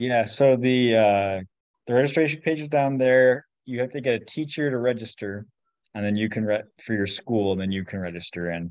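An American accent at a moderate pace, with ordinary pitch variation, dry sound with no echo and a quiet background. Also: man. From Washington state, US. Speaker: science fair volunteer. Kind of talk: casual chat. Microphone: video call.

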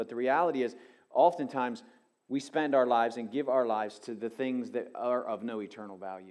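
A man's voice at a fairly quick pace, with ordinary pitch variation, against a quiet background. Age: 50s. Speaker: pastor. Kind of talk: sermon. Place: church. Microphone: headset.

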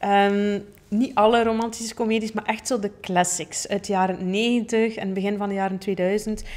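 The speaker has a Flemish accent and a moderate pace with hardly any pauses. The intonation stays monotone and flat. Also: woman. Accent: Flemish Dutch. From Flanders, Belgium. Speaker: podcast host, plant-based chef and coach; podcast host. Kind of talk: personal storytelling monologue. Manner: casual with many fillers. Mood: warm, cheerful. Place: studio. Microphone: studio mic.

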